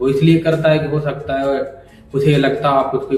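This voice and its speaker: Music plays in the background as a man talks. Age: 20s. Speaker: small business owner and motivational vlogger. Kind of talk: personal motivational monologue.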